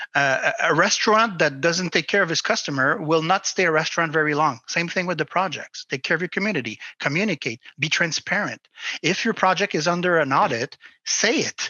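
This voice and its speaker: A man's high-pitched voice at a fairly quick pace, very even in loudness, with ordinary pitch variation. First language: not English. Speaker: crypto industry advisor. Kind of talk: interview. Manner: halting.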